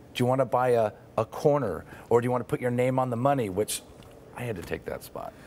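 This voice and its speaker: A man talks fairly quickly, and his pitch varies in an ordinary way. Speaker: guest. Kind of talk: interview answer. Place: studio. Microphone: lapel.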